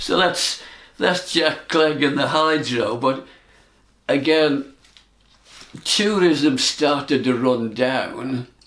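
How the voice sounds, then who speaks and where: Speaking at a very slow pace with long, frequent pauses, a man shows ordinary pitch variation over noticeable background noise. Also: fairly high pitch for a man. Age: 80s+. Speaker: club golfer. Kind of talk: reminiscing talk on club history. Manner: casual, conversational.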